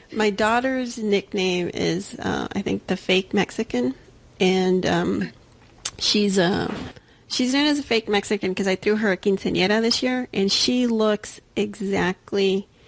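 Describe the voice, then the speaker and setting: A woman with an American accent speaks in an unremarkable speaking voice, medium in pitch, at a fairly slow pace. Her pitch varies in an ordinary way, her loudness stays very even, and the sound is dry and close with no echo. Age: 40s. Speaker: podcast host. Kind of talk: casual chat.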